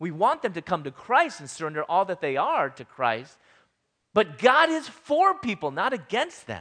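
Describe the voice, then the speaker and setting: A man with an American accent speaks at a moderate pace in a raised, projected voice, high-pitched with a bright, sharp tone. His pitch swings very widely and his loudness swings a lot. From US Midwest, Chicago suburbs. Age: 40s. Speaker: guest speaker. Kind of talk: sermon.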